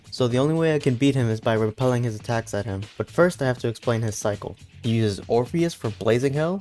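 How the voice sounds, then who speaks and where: Fairly quick speech over background music. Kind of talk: gaming commentary voiceover.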